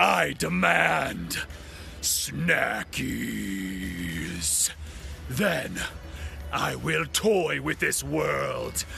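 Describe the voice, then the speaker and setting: A man rumbles along at a very slow pace in a put-on character voice. Clear background noise sits behind him. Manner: menacing, theatrical, demanding.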